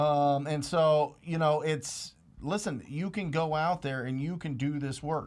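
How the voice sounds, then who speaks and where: A man with an unremarkable speaking voice, fairly high in pitch and fairly slow, on a very clean recording with a silent background. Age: 20s. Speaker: real estate investor and mentor. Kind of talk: casual Q&A coaching chat.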